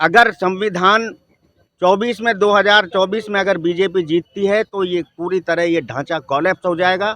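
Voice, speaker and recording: This man has a high pitch and a bright, sharp tone, his voice raised and projected. The sound is dry and close, with no echo. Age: 60s. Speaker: member of the public interviewed on the street. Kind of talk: street interview opinion. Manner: animated.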